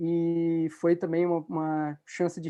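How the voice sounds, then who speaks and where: Over a quiet background, a man speaks at a high pitch with a dark, mellow tone. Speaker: law researcher and lecturer. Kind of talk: lecture. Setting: video call.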